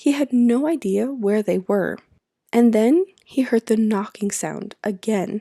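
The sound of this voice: Quiet background behind an unforced reading voice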